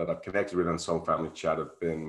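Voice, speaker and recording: A man speaks in a very deep, low pitch with a monotone, flat intonation. The recording is very clean, with a silent background. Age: 60s. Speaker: spiritual podcast host and meditation practitioner. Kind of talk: casual interview chat. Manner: halting, with frequent repetitions.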